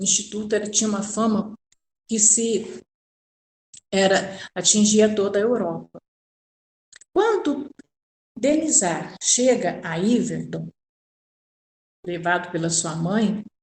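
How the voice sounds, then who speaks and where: At a very slow pace with long, frequent pauses, a woman speaks in a somewhat breathy medium pitch with ordinary pitch variation. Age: 60s. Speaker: spiritist course lecturer. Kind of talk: lecture. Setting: recording at home. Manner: halting.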